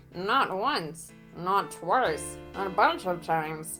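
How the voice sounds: A whiny, put-on character voice at a middle pitch and a very slow pace, with clear music in the background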